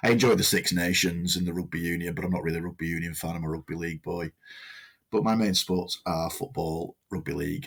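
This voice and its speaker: A man with a Lancashire accent talks at a very fast pace in a very deep, low pitch. The recording is very clean, with a silent background. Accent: northern English (Lancashire). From northern England, Lancashire. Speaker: podcast co-host, volunteer radio presenter. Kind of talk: casual chat.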